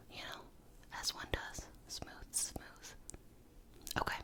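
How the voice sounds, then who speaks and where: A woman whispers in an American accent at a moderate pace. Noticeable background noise sits behind her. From New York. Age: 20s. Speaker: YouTuber, digital producer.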